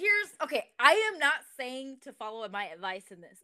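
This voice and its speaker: Raising and projecting her voice, a woman with an American accent speaks at a moderate pace in a high pitch with a bright, sharp tone. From Southern California. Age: 20s. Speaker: church creative director. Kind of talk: podcast interview. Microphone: echoey audio.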